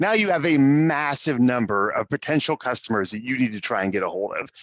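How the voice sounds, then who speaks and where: A man speaks at a medium pitch with very wide swings in his intonation. His pace is fairly quick over a quiet background. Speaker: software sales representative. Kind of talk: webinar presentation. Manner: fast.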